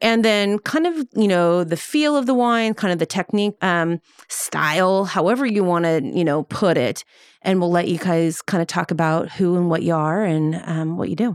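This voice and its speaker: A woman with a plain, everyday voice and fairly low pitch speaks at a moderate pace with ordinary pitch variation and very even loudness, in a dry, close sound with no echo. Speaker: podcast host. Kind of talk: casual interview. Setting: studio.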